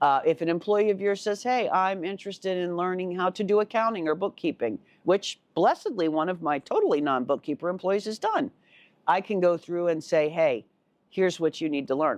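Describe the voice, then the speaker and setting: A woman with an unremarkable speaking voice at a fairly quick pace, dry and close with no echo, over a quiet background. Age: 60s. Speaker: finance consultant and podcast host. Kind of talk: casual video podcast monologue. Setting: home living room. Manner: conversational, with fillers and repetitions.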